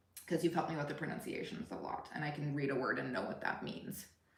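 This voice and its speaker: Talking very fast in a very deep, low voice, a woman with an American accent uses ordinary pitch variation while the room echo is audible. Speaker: family travel vlogger. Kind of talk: casual chat. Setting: livestream.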